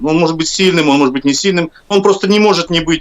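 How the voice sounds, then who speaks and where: Using lively intonation, a man speaks in a high pitch. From Kazakhstan. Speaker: professional musician. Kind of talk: live stream interview.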